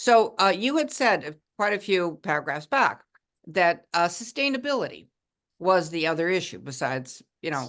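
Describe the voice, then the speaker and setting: Against a quiet background, a woman speaks loudly at a moderate pace with very wide pitch swings. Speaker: town committee member. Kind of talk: question at public meeting. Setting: town committee meeting.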